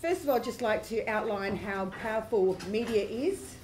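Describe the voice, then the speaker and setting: A woman speaks at a moderate pace over noticeable background noise. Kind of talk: conference presentation. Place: hall. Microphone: camera far.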